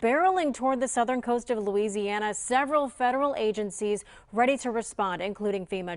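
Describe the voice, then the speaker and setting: A woman with an American accent talks at a fairly quick pace, her fairly high voice full of lively intonation. It is an unremarkable speaking voice. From Midwest United States. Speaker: TV news reporter and anchor. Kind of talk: TV news anchor read.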